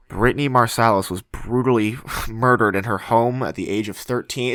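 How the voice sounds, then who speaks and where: A man's put-on character voice, nasal and medium in pitch, at a fairly quick pace. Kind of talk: formal news delivery.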